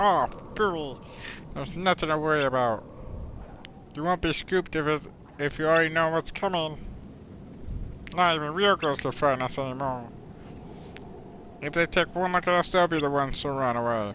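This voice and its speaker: Putting on a character voice, a man speaks fairly high at a moderate pace, with long, frequent pauses and clear background noise. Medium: video game.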